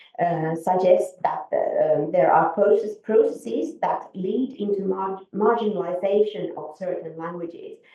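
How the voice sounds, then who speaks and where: Speaking fairly slowly yet with hardly any pauses, a woman with a Finnish accent uses a medium pitch and ordinary pitch variation, her loudness swinging widely. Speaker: conference speaker, academic. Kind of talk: conference presentation. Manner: halting, many fillers and restarts.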